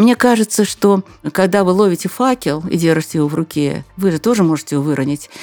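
Music plays in the background while a woman speaks at a fairly quick pace. Her pitch is fairly low with ordinary variation, and the sound is dry and close with no echo. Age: old. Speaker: journalist and business trainer. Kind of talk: interview.

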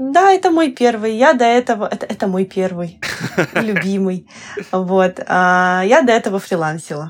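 A woman with an ordinary speaking voice and medium pitch talks at a fairly slow pace, her intonation lively. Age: 20s. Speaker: visual novel scriptwriter. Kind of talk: casual podcast interview.

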